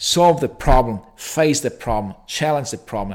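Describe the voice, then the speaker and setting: A man speaks at a fairly slow pace with an Italian accent and ordinary pitch variation. The recording is very clean, with a silent background. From Italy. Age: 30s. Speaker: orthopaedic surgeon. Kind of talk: interview. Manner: halting.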